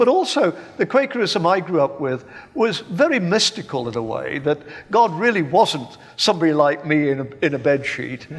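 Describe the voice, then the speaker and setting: Speaking with an English accent, a man uses a high pitch and very wide pitch swings at a moderate pace. Noticeable background noise runs underneath. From England (Birmingham). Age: 70s. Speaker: professor of philosophy. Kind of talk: panel debate. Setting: stage with live audience. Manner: halting, repeats words.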